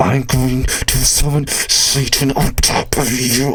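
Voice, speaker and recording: A man puts on a character voice, talking fairly slowly at a medium pitch. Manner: speaking through clenched teeth, menacing.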